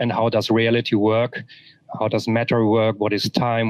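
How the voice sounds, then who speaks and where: A man speaks at a medium pitch and moderate pace in a monotone, flat intonation. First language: German. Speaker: author. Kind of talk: interview. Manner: halting, many repetitions.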